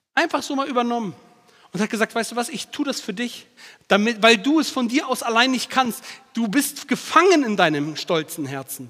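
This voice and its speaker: A man speaks in a raised, projected voice at a moderate pace. His pitch is extremely high and swings very widely. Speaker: preacher. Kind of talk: sermon. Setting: church. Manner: animated, direct, emphatic; repeats key phrases for emphasis.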